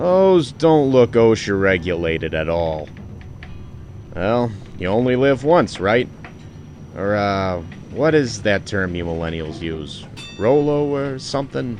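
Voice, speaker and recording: A gruff, put-on character voice from a man at a fairly low pitch, fairly slow, with long, frequent pauses and clear background noise. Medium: audio drama.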